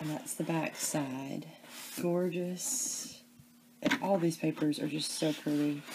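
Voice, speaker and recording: A soft-spoken woman with a Southern US accent, a very deep, low pitch and a dark, mellow tone, at a very slow pace with long, frequent pauses and ordinary pitch variation. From US South, Memphis, Tennessee area. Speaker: crafting video creator. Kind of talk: crafting tutorial. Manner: casual, chatty.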